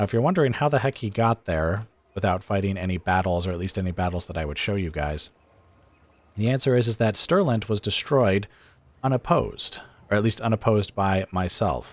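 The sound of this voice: A man with a nasal voice and fairly low pitch talks at a fairly quick pace. His intonation is lively.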